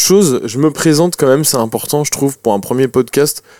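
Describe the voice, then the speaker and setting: A man talks with a fairly high pitch and ordinary pitch variation. It is a normal speaking voice. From France, Noirmoutier. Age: 20s. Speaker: musician. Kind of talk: casual interview. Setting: in a bus studio.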